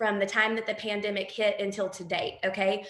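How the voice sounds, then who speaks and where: A woman talks at a fairly high pitch. Audible room echo and noticeable background noise fill the recording. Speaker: direct sales team leader. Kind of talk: training talk on a call. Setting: group call. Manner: fast; animated.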